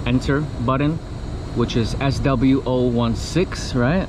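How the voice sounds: Over clear background noise, a man speaks at a fairly slow pace.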